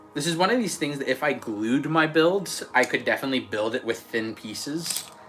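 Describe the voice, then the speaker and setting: Against noticeable background noise, a man with an American accent talks at a fairly quick pace in a fairly high pitch with lively intonation. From Australia. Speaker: LEGO builder streamer. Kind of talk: casual live stream chat while building. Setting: late night live stream.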